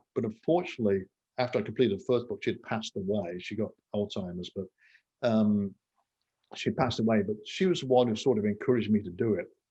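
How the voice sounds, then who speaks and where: A man with a West Midlands accent, very fast, his tone dark and mellow, medium in pitch, with ordinary pitch variation. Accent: English Midlands (Coventry). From England, Coventry. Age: 60s. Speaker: entrepreneur and author. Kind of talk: interview conversation.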